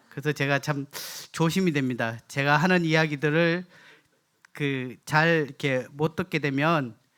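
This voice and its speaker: Heard in a very clean recording with a silent background, a man with a Gyeongsang accent talks at a fairly slow pace, his fairly high voice keeping fairly even intonation. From South Korea, Gyeongsang (Daegu area). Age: 50s. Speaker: guest preacher. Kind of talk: sermon. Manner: halting, many fillers.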